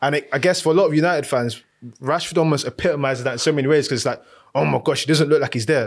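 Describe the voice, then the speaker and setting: A man speaks at a very fast pace in an animated, energetic tone. The recording is very clean, with a silent background. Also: fairly high pitch for a man, ordinary pitch variation. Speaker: football podcast host. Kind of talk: live casual sports chat show.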